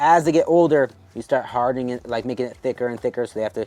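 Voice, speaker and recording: Speaking at a very fast pace, the man sounds animated, with ordinary pitch variation. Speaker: dog breeder. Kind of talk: casual tutorial. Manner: casual, animated.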